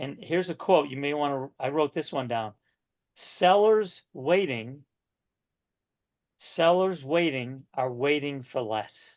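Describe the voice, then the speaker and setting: A man's fairly high voice in a New England accent, at a very slow pace with long, frequent pauses and ordinary pitch variation. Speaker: real estate coach. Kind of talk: coaching session.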